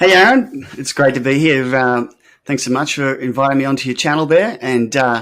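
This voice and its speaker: With an Australian accent, a man speaks in a medium pitch at a moderate pace, showing ordinary pitch variation. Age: 60s. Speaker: artist and project founder. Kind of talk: interview.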